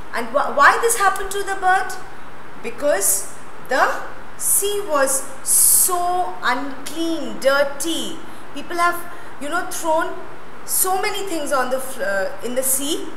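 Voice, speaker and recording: A woman's raised, projected voice at a very slow pace, with long, frequent pauses and noticeable background noise. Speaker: school teacher. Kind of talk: lecture. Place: classroom. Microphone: lapel.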